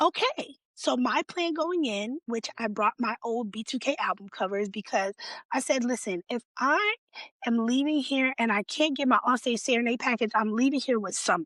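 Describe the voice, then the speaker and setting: A woman speaks at a moderate pace with a fairly high pitch and lively intonation. The sound is dry and close, with no echo. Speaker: podcast host. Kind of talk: casual chat, storytelling.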